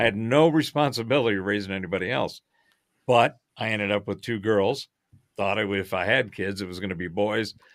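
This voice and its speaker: Using a plain, everyday voice, a man speaks at a fairly quick pace and a fairly low pitch. His pitch varies in an ordinary way on a very clean recording with a silent background. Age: 60s. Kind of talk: casual chat.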